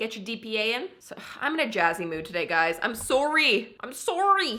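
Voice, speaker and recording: With a Canadian accent, a woman speaks at a fairly high pitch in an animated tone, with very wide pitch swings, big swings in loudness, and noticeable background noise. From Canada. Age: 20s. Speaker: lifestyle vlogger. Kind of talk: casual vlog.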